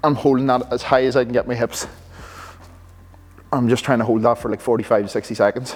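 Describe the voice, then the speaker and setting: A man talks very fast in a flat monotone. He leaves long, frequent pauses. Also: medium pitch for a man. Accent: Irish. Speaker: Gaelic football player and coach. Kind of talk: gym vlog, casual explanation. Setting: gym. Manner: casual, conversational.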